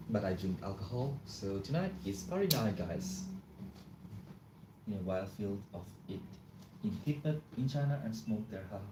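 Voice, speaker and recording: In a fairly low pitch, a man speaks at a fairly slow pace with long, frequent pauses, his dark, mellow tone somewhat breathy and his intonation lively, all with audible room echo. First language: not English. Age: 20s. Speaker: live streamer. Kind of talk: casual live stream chat. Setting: home, live stream. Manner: casual, chatty.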